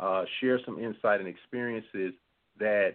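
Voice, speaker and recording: The pitch shows ordinary variation at a moderate pace. Overall, it is an ordinary speaking voice. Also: man. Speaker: guest speaker. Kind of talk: radio interview.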